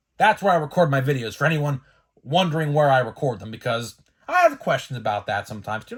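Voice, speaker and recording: A man at a very fast pace with very wide pitch swings, very clean recording, silent background. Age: 20s. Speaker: sports card collector youtuber. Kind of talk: casual vlog commentary. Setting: home spare bedroom office.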